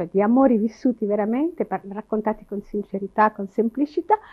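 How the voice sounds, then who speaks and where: A woman delivers her words at a fairly quick pace, the background quiet. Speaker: television presenter. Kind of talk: interview answer. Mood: smiling, relaxed, confident. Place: home room.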